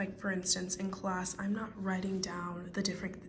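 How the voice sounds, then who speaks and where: Whispering softly at a moderate pace, a woman is heard with audible room echo and noticeable background noise. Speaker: nursing student vlogger. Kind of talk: casual vlog tutorial. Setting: library study room. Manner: soft-spoken.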